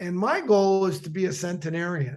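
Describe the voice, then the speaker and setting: Here a man speaks with a high-pitched voice. His pitch varies in an ordinary way. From Canada. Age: 60s. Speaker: former athlete. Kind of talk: casual interview chat.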